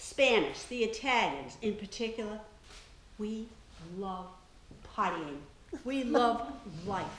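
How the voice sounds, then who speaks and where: The speaker talks very slowly with lively intonation and long, frequent pauses, with audible room echo and noticeable background noise. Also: woman, fairly high pitch for a woman. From Maine, Franco-American community. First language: French. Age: 80s+. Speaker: local history speaker. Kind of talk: talk to an audience.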